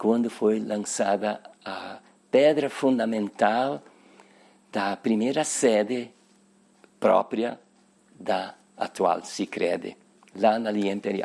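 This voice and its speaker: A man speaks at a very slow pace with ordinary pitch variation and long, frequent pauses. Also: medium pitch for a man. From southern Brazil, Nova Petrópolis, Rio Grande do Sul. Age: 80s+. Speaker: cooperative member interviewed about its history. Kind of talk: oral history interview. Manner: halting, with repetitions.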